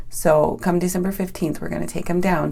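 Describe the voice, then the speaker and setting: A woman talks at a fairly quick pace in a fairly low pitch, her tone dark and mellow, with audible room echo around her. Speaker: raw vegan health coach. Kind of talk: online training video. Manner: fast; animated.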